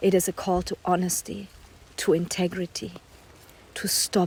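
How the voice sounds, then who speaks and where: A woman speaks at a moderate pace. Her tone is dark and mellow, her intonation monotone and flat. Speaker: poet. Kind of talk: spoken word poetry reading. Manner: intense, not calm.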